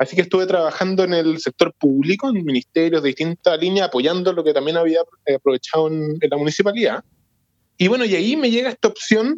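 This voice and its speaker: Dry and close with no echo, a man's high-pitched voice races at a very fast pace with lively intonation. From Santiago, Chile. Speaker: foundation executive director. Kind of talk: interview.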